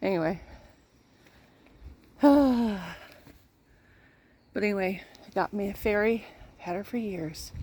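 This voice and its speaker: A woman's voice sits at a medium pitch with ordinary pitch variation. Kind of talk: casual talk to camera.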